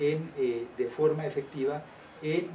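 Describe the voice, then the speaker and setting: Light background noise is heard behind a man. His intonation stays fairly even. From Colombia. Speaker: trade union leader; interviewee. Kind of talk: interview. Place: meeting room. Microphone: camera far.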